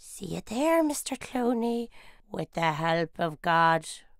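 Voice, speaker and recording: A woman's cartoonish character voice, fairly high and fairly slow, with very wide pitch swings. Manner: mocking, scornful.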